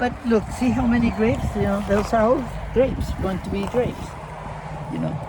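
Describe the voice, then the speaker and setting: A woman speaks with long, frequent pauses amid noticeable background noise and audible room echo. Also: moderate pace. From Argentina. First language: Spanish. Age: 80s+. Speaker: vineyard owner. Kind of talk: casual interview.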